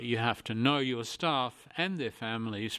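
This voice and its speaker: With an Australian accent, a man speaks at medium pitch and a fairly slow pace, his intonation fairly even. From Australia, rural northern New South Wales. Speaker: retired diplomat. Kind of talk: interview.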